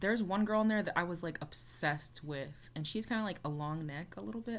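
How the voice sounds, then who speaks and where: A woman with an American accent, at a fairly quick pace, with very wide pitch swings and audible room echo. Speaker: YouTuber reacting to music. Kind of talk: casual reaction vlog. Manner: casual, filler-heavy with frequent 'like'.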